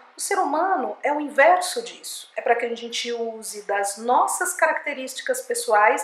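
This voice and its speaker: At a moderate pace, a woman with a high pitch speaks using lively intonation. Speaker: speech therapist and communication coach. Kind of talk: educational talk to camera.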